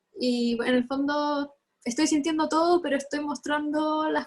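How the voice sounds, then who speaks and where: A woman speaks with fairly even intonation. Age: 20s. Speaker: mental health activist. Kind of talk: testimony.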